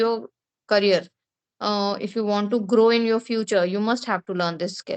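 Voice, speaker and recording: In a Bengali accent, a woman with a fairly high pitch talks at a moderate pace and with fairly even intonation. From India (Bengali-speaking). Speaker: English speaking tutor. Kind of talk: conversation practice interview.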